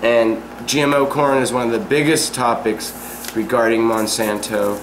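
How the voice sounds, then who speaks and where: Amid audible room echo and noticeable background noise, a man talks at a fairly slow pace with ordinary pitch variation. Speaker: vlog talk show host. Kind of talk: casual chat.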